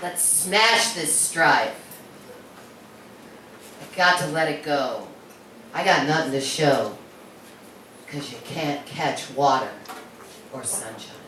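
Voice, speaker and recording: Over noticeable background noise, a woman with a very deep, low pitch speaks at a very slow pace with long, frequent pauses, lively intonation and big swings in loudness. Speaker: poet. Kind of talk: serious poetry reading.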